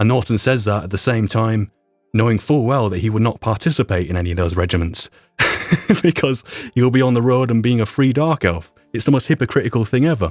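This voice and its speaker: With music in the background, a man with a Yorkshire accent speaks with lively intonation in a dry, close sound with no echo. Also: medium pitch for a man. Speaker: YouTube roleplay creator and voice performer. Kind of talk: podcast retrospective monologue.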